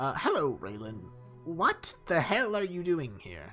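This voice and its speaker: A put-on character voice at a middle pitch speaks at a fairly slow pace, with clear music in the background. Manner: put-on character voice, confronting.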